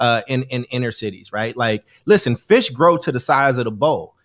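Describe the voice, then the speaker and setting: With an American accent, a man talks at a fairly quick pace in an animated tone with lively intonation. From US Midwest/South (Chicago, Kentucky). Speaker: education advocate, guest. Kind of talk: casual conversation.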